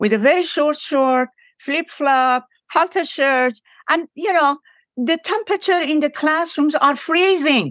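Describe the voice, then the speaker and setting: Over a silent background in a very clean recording, dry and close with no echo, a woman with an Iranian accent speaks at a high pitch with lively intonation. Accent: Iranian (Persian) accent in English. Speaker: professor. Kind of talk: interview.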